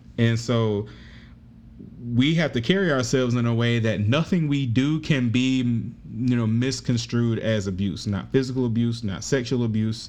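A man talks at a moderate pace with a medium-pitched voice. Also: ordinary pitch variation. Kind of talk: casual conversation. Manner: soft-spoken.

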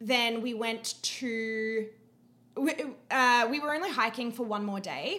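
With an Australian accent, a woman talks very slowly at a fairly high pitch, her pitch moving in an ordinary way. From Queensland, Australia. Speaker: podcast guest, host's friend. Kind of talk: casual chat.

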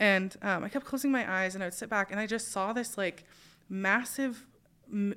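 The tone is bright and sharp, with ordinary pitch variation and a moderate pace. The recording is very clean, with a silent background. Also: woman. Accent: American. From US Pacific Northwest, Spokane. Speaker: podcast host. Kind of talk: interview conversation.

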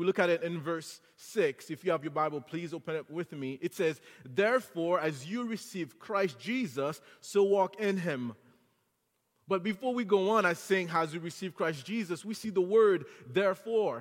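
This high-pitched man speaks at a moderate pace with lively intonation. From Haiti. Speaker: guest preacher. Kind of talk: sermon. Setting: church.

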